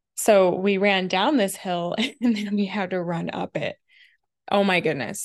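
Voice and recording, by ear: In a very clean recording with a silent background, a woman speaks at medium pitch with ordinary pitch variation and a fairly slow pace.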